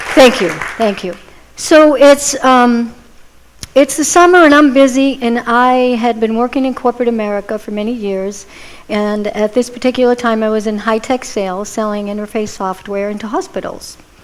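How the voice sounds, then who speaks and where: Against noticeable background noise, a woman with a fairly high pitch speaks at a moderate pace with ordinary pitch variation. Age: 50s. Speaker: inspirational speaker, cancer survivor. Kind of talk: inspirational talk. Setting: church stage with audience.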